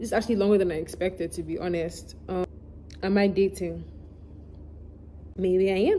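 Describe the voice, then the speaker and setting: A woman at a moderate pace. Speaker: YouTuber answering fan questions. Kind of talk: casual Q&A vlog. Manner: words can run together, mumbled.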